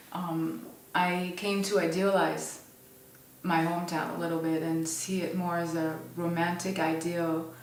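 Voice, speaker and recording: A woman's fairly low, monotone voice at a fairly slow pace, with audible room echo and noticeable background noise. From France, Paris area. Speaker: photographer. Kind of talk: interview. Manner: hesitant, many fillers.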